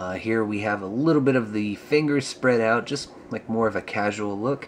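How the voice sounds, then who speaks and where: A man talks at a moderate pace and medium pitch, with ordinary pitch variation, as noticeable background noise runs underneath. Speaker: action figure reviewer. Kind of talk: product review. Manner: casual, many filler words.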